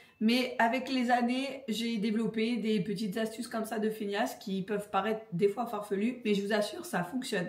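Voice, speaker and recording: In a room with audible echo, a woman speaks at a moderate pace in a fairly high pitch with ordinary pitch variation. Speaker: home organisation vlogger. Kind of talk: casual vlog. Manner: casual, hesitant with fillers.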